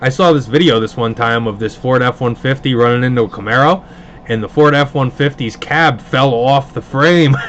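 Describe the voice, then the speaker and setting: Noticeable background noise sits behind a man with a New York accent. He speaks at a medium pitch with ordinary pitch variation. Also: moderate pace. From Hudson Valley, upstate New York (Pleasant Valley near Poughkeepsie). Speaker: card box breaker, livestream host. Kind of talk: casual livestream chat. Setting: live stream broadcast.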